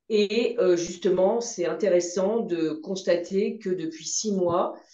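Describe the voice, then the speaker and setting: Amid noticeable background noise and audible room echo, a woman at a medium pitch speaks at a very slow pace. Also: ordinary pitch variation. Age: 60s. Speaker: patient. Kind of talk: testimony. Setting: video call.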